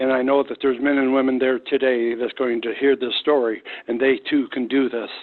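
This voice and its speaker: Monotone, flat male speech at medium pitch in an American accent. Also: fairly quick pace. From US Midwest (East St Louis, Illinois). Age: 70s. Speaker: former military firefighter, cancer patient. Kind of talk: interview testimony.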